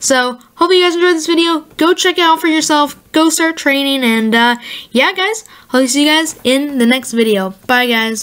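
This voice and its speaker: The speaker is a woman with a high pitch. She talks at a moderate pace. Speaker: gaming YouTuber. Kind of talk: casual video commentary. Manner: casual, filler-heavy, enthusiastic.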